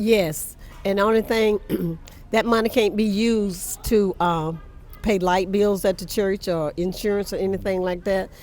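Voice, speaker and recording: In a South Carolina accent, the speaker keeps a moderate pace and fairly even intonation. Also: woman, medium pitch for a woman. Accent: US Southern, South Carolina. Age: 80s+. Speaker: church historian. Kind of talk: interview.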